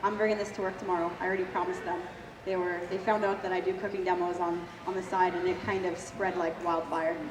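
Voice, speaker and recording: A woman with a Canadian accent talks at a very fast pace with monotone, flat intonation. The recording carries audible room echo and noticeable background noise. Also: medium pitch for a woman. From Ontario, Canada. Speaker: cooking demonstrator. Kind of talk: live cooking demo.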